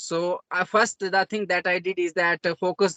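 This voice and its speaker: Dry and close with no echo, a man with an Indian accent speaks at a fairly quick pace and high pitch. His tone is bright and sharp, his intonation monotone and flat. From India, Jammu region (Dogri-speaking village). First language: Dogri. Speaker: self-taught English learner. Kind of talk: interview conversation. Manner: halting, many fillers.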